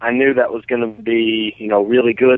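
This is a man with an ordinary speaking voice and an American accent. His pitch is medium and his pace moderate. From Colorado (from age 8), born Northern Virginia. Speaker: professional bass angler and fishing guide. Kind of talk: interview.

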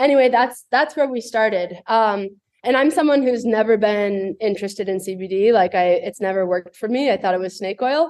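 A woman speaks at a moderate pace in a plain, everyday voice. Her pitch is fairly high, with ordinary pitch variation. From US West, Boulder, Colorado. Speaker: brand founder and entrepreneur. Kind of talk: casual interview.

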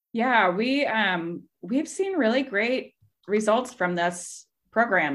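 In a very clean recording with a silent background, a woman with an American accent has a plain, everyday voice, a fairly high pitch, and lively intonation. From Kansas, US Midwest. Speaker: voter organization director. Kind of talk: casual interview chat.

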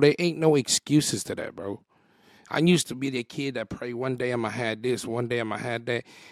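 A man's fairly quick, medium-pitched delivery in an ordinary speaking voice, with ordinary pitch variation and a dry, close sound with no echo. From San Jose, California. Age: 30s. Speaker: content creator and comedian. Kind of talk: casual chat. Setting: studio.

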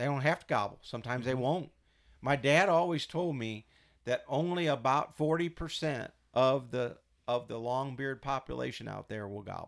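Heard in a very clean recording with a silent background, this is an unremarkable speaking voice with an American accent. It moves at a moderate pace with ordinary pitch variation. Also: man. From Missouri. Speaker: turkey hunter and game call expert. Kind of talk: casual chat.

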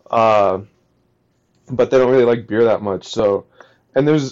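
A man speaks at a moderate pace. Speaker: podcast co-host. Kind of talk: casual chat. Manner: flat monotone delivery.

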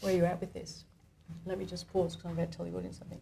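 A woman speaks with a fairly low pitch and a dark, mellow tone. Vocal fry runs through her voice. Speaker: coach. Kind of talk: live coaching demonstration. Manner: warm, gentle.

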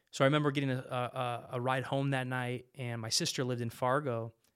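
A man speaks in an American accent. His intonation is monotone and flat. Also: very clean recording, silent background. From California Central Valley (Modesto). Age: 30s. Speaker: police officer and ministry worker. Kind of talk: interview testimony.

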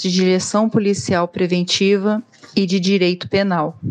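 Over noticeable background noise, a woman talks at a fairly slow pace with a medium pitch and fairly even intonation. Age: 30s. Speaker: police officer and instructor. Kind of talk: recorded testimony.

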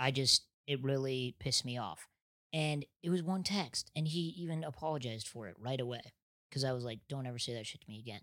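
A man with an American accent and a normal speaking voice talks at a fairly quick pace, fairly high in pitch with ordinary pitch variation, the sound dry and close with no echo. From small-town Nebraska. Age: 30s. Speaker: comedian. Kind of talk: casual chat.

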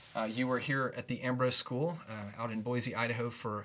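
A man speaks at a medium pitch. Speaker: podcast host. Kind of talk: casual conversation. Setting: studio.

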